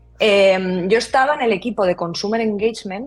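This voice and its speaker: This is an ordinary speaking voice at a moderate pace with ordinary pitch variation. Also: woman. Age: 30s. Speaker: brand designer. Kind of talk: casual interview.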